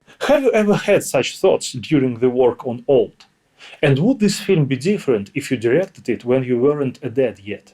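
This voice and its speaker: Speaking in a Russian accent, a man uses lively intonation at a fairly high pitch. His pace is moderate. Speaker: interviewer. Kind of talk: interview.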